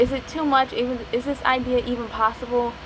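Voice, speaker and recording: A strong Appalachian accent comes through over noticeable background noise. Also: woman. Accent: strong Appalachian hillbilly. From West Virginia, Appalachia. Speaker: aspiring novelist, video creator. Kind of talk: casual vlog talk. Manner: fast, sometimes slurred; rambling, hesitant with fillers.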